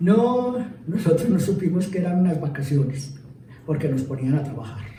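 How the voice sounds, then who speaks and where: A man delivers his words at a moderate pace, and room echo can be heard. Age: 60s. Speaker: local councillor. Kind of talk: interview testimony. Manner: halting, many fillers.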